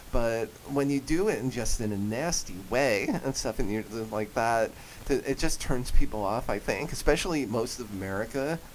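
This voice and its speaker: With a New Jersey accent, this man talks at a moderate pace in a medium pitch, his pitch varying an ordinary amount. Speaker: voice actor and comedian. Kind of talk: radio interview. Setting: radio studio. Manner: animated.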